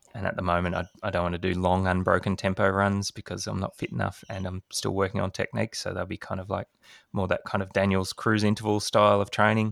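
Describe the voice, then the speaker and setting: A man with an Australian accent talks very fast in a very deep, low, monotone voice. The recording is very clean and dry, close, with a silent background and no echo. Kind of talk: casual podcast chat.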